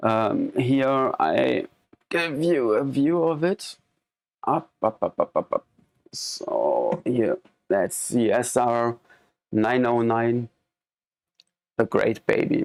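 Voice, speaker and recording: A man talks at a very slow pace with a German accent, leaving long, frequent pauses. His loudness stays very even over background music, and the sound is dry and close with no echo. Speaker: live streamer and electronic music hobbyist. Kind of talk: live stream demo. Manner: halting.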